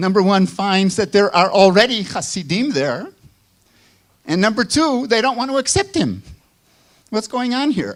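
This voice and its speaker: Speaking in a Chicago accent at a moderate pace, a high-pitched man uses lively intonation and leaves long, frequent pauses. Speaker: professor. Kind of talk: lecture.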